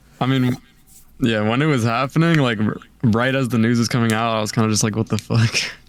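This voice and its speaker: A man at a very fast pace, with fairly even intonation and very even loudness. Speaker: top video game player. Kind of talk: casual interview. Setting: Discord call.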